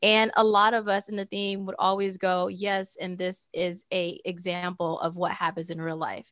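A woman's medium-pitched voice with an American accent, monotone and flat, at a moderate pace with hardly any pauses, in a very clean recording with a silent background. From US and Saudi Arabia. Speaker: tech entrepreneur. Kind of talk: casual interview chat.

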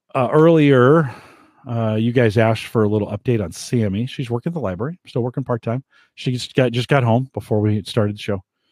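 The man has an unremarkable speaking voice at a medium pitch and talks at a fairly quick pace. The sound is dry and close with no echo, in a very clean recording with a silent background. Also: ordinary pitch variation. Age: 50s. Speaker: podcast host. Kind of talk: solo podcast monologue. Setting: home studio, live stream.

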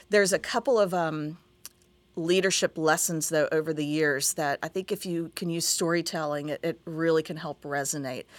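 A woman with an American accent talks at a moderate pace in a normal speaking voice, her pitch fairly low. The sound is dry and close with no echo, and her pitch varies in an ordinary way. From West Virginia, Huntington. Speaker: TV station executive. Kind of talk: interview.

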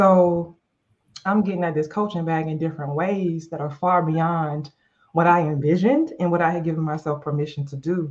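An unremarkable speaking voice from a woman, with fairly low pitch and fairly even intonation. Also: moderate pace. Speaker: life and leadership coach, podcast co-host. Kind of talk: casual chat.

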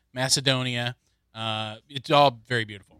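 With an American accent, a man speaks at medium pitch in a bright, sharp tone with ordinary pitch variation. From New York. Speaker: TV producer and broadcast journalist. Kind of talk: casual chat.

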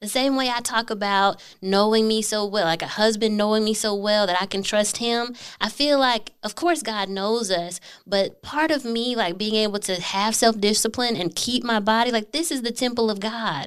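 Woman's fairly high-pitched, unremarkable speaking voice at a moderate pace, with ordinary pitch variation and hardly any pauses, on a very clean recording with a silent background. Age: 30s. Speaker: podcast guest. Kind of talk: interview.

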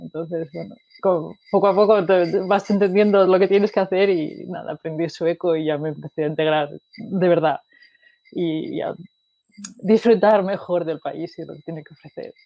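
A woman speaks in an unremarkable speaking voice, fairly low-pitched, at a moderate pace. Her intonation is fairly even, but her loudness swings widely. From Spain, Asturias. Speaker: data analytics expert, mechanical engineer. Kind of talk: interview.

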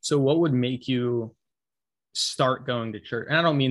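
Speaking at a moderate pace and a medium pitch, a man has a plain, everyday voice. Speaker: podcast host. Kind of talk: interview.

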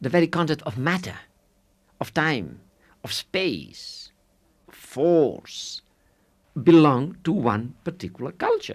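A man's fairly high voice with vocal fry and lively intonation, very slow and broken by long, frequent pauses, on a very clean recording with a silent background. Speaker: philosopher. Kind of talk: interview. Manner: laughs often while talking.

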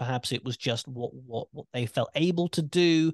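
In a British accent, a man with a fairly high pitch is heard with a dry, close sound with no echo and a quiet background. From UK. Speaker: podcast host and wrestling commentator. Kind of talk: casual chat. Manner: animated.

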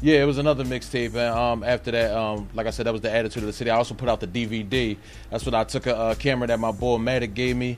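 Over music in the background, a man talks very fast with fairly even intonation and hardly any pauses. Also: medium pitch for a man. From Philadelphia area, US. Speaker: rapper. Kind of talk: casual interview. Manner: halting, many fillers.

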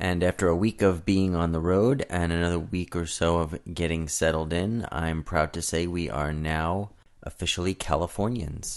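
Hardly pausing at all, a man with an American accent speaks at a moderate pace in a very deep, low voice with ordinary pitch variation. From Brooklyn, New York. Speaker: podcast host. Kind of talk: radio DJ patter, upbeat podcast intro. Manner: energetic, friendly, punchy and chatty.

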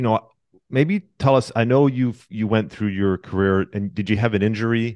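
A man talks at a medium pitch and a moderate pace in a plain, everyday voice with ordinary pitch variation. The sound is dry and close with no echo, and the background is quiet. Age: 40s. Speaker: podcast host. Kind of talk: interview.

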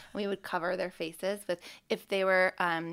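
In a very clean recording with a silent background, a woman with an unremarkable speaking voice talks at a moderate pace. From Canada. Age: 30s. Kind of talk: casual chat.

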